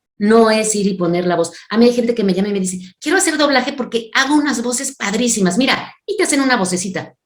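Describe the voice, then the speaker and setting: In an animated tone, a woman speaks at a very fast pace with hardly any pauses. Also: fairly high pitch for a woman, lively intonation. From Mexico City. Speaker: voice actress and dubbing director. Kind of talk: interview.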